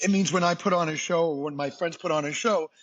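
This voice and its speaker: A man talks with a Boston accent at a moderate pace. His pitch sits high. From US Northeast, Boston. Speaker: singer and entertainer. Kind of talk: podcast interview. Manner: animated.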